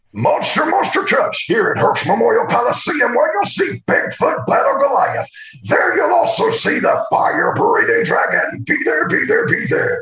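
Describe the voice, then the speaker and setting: Putting on a raspy character voice at an extremely high pitch, a man speaks with a slight echo and faint music in the background. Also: moderate pace. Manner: yelling, hyped, salesy.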